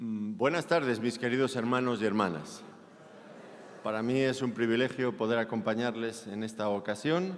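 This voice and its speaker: Audible room echo surrounds a man with a medium-pitched voice who speaks in a Spanish accent at a moderate pace with ordinary pitch variation. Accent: Spanish (Spain) accent, noticeable in Mexico. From Spain. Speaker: pastor. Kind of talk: sermon.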